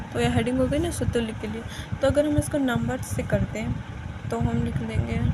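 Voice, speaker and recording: A woman with a non-native accent at a moderate pace, with audible room echo and noticeable background noise. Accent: says her Hindi is weak. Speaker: math teacher. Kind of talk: tutorial.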